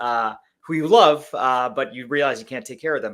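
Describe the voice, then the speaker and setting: A man at a fairly quick pace, with a slight Canadian accent and ordinary pitch variation. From Canada (Langley, British Columbia). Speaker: company CEO. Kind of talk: podcast interview.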